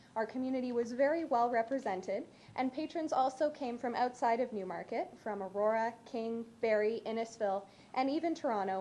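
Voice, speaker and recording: A woman with a Canadian accent talks at a fairly quick pace, her high voice dark and mellow in tone. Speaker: local history volunteer. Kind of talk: council deputation presentation. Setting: council chamber. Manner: fast.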